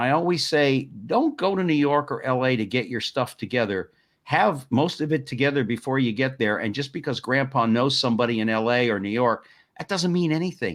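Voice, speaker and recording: Over a quiet background, a man with an unremarkable speaking voice talks at a fairly quick pace in a medium pitch with ordinary pitch variation. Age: 60s. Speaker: talk show host. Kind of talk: interview chat. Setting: live stream talk show.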